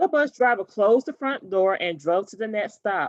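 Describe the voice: A woman talks at a moderate pace with lively intonation, in a dry, close sound with no echo.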